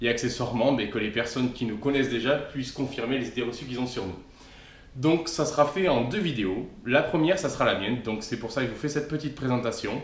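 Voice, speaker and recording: There is audible room echo around a man of medium pitch. He speaks at a very fast pace with ordinary pitch variation. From southern France, Aude (Castelnaudary area). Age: 20s. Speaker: travel vlogger. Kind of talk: scripted humorous self-introduction.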